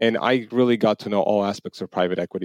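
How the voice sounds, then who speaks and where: At a fairly quick pace, a man with an Armenian accent talks at a fairly low pitch, the sound dry and close with no echo and a quiet background. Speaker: venture capital limited partner. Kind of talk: interview.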